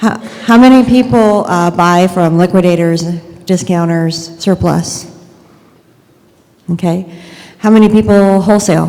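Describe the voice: Soft-spoken and at a fairly slow pace, a woman with a fairly low pitch and a dark, mellow tone shows ordinary pitch variation against audible room echo.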